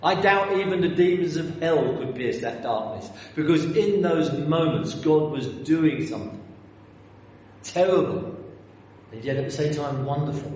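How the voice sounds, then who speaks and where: This man with a London accent has a fairly high pitch and ordinary pitch variation, talking at a moderate pace. Room echo is audible and background noise is noticeable. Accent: southern English, London. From North London, England. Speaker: preacher. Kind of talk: sermon. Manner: halting, repeats words.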